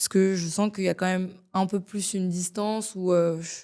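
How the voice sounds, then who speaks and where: The tone is dark and mellow, and the speech moves at a moderate speed with fairly even intonation. Silence surrounds it on a very clean recording. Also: woman. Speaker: singer-songwriter. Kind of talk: casual interview chat. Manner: hesitant, many fillers (euh).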